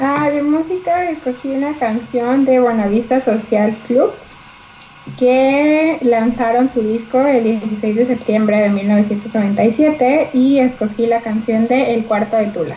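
The speech moves at a very slow pace with ordinary pitch variation over noticeable background noise. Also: woman, high pitch for a woman. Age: 20s. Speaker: radio co-host. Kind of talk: casual chat.

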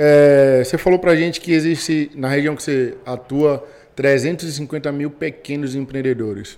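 An unremarkable speaking voice goes at a fairly slow pace with fairly even intonation. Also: man, fairly high pitch for a man. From Brazil, Bahia. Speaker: podcast co-host, entrepreneur. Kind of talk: podcast interview. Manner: casual, slangy.

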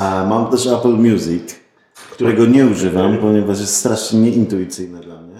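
An unremarkable speaking voice goes at a moderate pace with fairly even intonation. Its loudness swings a lot. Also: man, fairly low pitch for a man. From Poznań, Poland. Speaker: podcaster. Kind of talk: casual chat.

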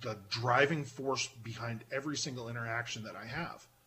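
An unremarkable speaking voice from a man with an American accent, medium in pitch. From Pennsylvania. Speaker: podcaster. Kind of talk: casual chat.

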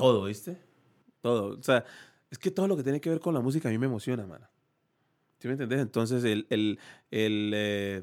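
A man at medium pitch with lively intonation, a fairly quick pace and long, frequent pauses, on a very clean recording with a silent background. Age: 40s. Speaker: salsa musician. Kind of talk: casual interview chat. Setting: studio.

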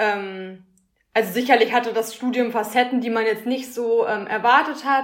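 A woman talks at a moderate pace and fairly high pitch in an ordinary speaking voice. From Ruhr area, Germany (Schwerte near Dortmund). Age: 20s. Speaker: master's student in design. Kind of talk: casual interview.

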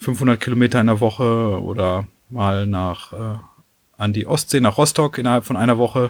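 A man with a plain, everyday voice speaks with fairly even intonation. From western Germany, near Dortmund. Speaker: cyclist and long-distance hiker. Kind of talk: casual chat.

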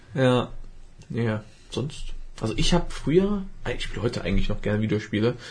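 A man with a medium pitch and a somewhat breathy voice swings his pitch very widely. He talks at a fairly quick pace but with long, frequent pauses. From Germany. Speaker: podcast host. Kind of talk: casual chat. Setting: studio.

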